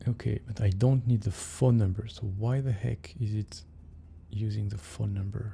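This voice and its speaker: With a French accent, a man speaks in a fairly low, somewhat breathy voice with a dark, mellow tone. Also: ordinary pitch variation, moderate pace. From France. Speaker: software developer streamer. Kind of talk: casual live stream coding chat. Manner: hesitant, many fillers.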